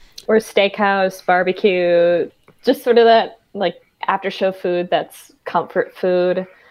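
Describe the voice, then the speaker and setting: At a very slow pace, a woman with an American accent speaks at a medium pitch with fairly even intonation. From Minnesota, US Midwest. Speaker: tour merchandise and VIP manager. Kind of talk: casual interview chat.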